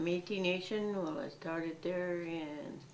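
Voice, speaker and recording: There is noticeable background noise. Through it, a woman talks at a fairly slow pace. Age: 80s+. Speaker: Métis elder and community worker. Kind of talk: interview answer. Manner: reflective, conversational.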